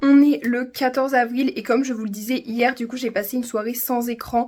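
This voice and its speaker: This woman speaks in a high voice, her intonation staying fairly even. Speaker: vlogger. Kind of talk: vlog diary. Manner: fast.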